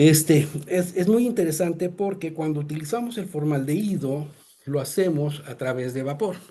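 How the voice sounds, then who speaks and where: A man speaks at a fairly high pitch with lively intonation. His tone is dark and mellow, and somewhat breathy. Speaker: presenter on sterilization technology. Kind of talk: webinar presentation. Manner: fast; halting, many fillers.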